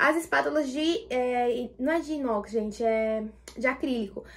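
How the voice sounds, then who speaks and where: A woman speaks in a high voice. Her pitch rises and falls in an ordinary way. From Brazil, Taboão da Serra, São Paulo; São Paulo state, Brazil. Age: 20s. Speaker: YouTuber and cake baker; home baker vlogger. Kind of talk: Q&A vlog. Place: home room. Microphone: phone near.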